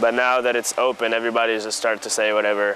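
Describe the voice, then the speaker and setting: A man talks fairly quickly and in a monotone, flat intonation while noticeable background noise carries on. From Tunisia. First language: French. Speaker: college student and tennis player. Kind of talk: interview. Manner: casual, filler-heavy.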